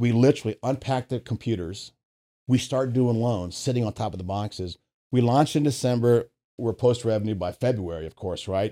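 A man speaks at a fairly quick pace in a medium pitch, with a dark, mellow tone and ordinary pitch variation, on a very clean recording with a silent background and a dry, close sound with no echo. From US, Virginia. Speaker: business advisor, former mortgage executive. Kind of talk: casual interview. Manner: animated.

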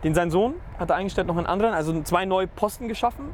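A man's high voice at a very fast pace, with ordinary pitch variation and noticeable background noise. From Nuremberg, Franconia. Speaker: football fan. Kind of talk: casual chat.

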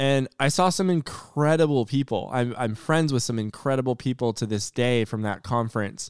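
With a normal speaking voice, a man talks at a moderate pace and medium pitch with ordinary pitch variation and hardly any pauses, in a dry, close recording with no echo and a very clean, silent background. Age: 30s. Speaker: podcast host and awareness advocate. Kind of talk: personal monologue. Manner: casual, filler-heavy.

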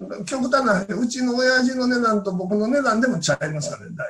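With a Kansai accent, a man talks at a high pitch, his loudness swinging widely and his pitch varying in an ordinary way. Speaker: knife craftsman. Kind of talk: interview.

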